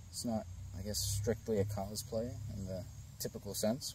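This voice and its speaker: At a moderate pace, a man with a fairly low pitch and a dark, mellow, somewhat breathy tone speaks with ordinary pitch variation, in a dry recording with no echo and light background noise. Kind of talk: casual vlog chat. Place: garden. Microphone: phone near.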